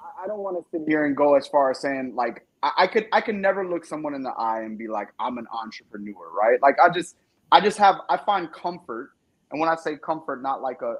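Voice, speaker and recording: Talking at a fairly quick pace, a man with a high voice makes very wide pitch swings. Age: 30s. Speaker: independent music artist. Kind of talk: casual chat. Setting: live stream interview.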